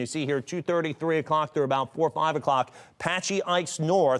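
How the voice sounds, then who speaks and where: Using a normal speaking voice, a man talks at a fairly quick pace, fairly high in pitch with ordinary pitch variation. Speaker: TV meteorologist. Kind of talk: TV weather forecast.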